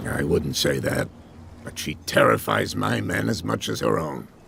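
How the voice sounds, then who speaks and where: Putting on a character voice, a man speaks raspy and very deep at a moderate pace, with ordinary pitch variation and clear background noise. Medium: video game. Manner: measured, guarded.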